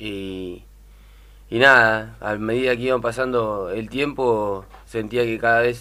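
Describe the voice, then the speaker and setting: Speaking at a very slow pace, a man has a bright, sharp tone, a medium pitch and fairly even intonation. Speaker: women's football coach. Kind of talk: radio interview. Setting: studio. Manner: halting. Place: studio.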